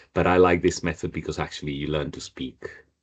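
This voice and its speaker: The intonation of this man's speech stays fairly even. He has a Spanish accent. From northern Spain. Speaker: Spanish teacher. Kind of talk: online language class.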